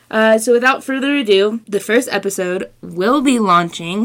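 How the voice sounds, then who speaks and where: A woman at medium pitch, with ordinary pitch variation, speaks at a moderate pace as noticeable noise sounds behind her. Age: 20s. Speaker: student podcast host. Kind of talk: casual podcast intro monologue. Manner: enthusiastic, with fillers.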